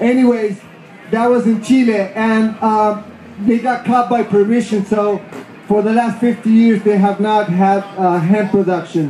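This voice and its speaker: Someone with an Argentine accent speaks at a fairly slow pace with fairly even intonation and very even loudness, amid noticeable background noise and audible room echo. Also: man, high pitch for a man. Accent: Argentinian Spanish accent in English. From Argentina. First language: Spanish. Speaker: hemp activist. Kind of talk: festival speech. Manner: halting.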